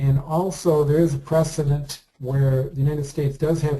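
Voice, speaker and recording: At a moderate pace, a man speaks in a dark, mellow, somewhat breathy tone with monotone, flat intonation. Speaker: committee member in online politics game. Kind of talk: policy presentation in committee meeting. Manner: halting, many fillers.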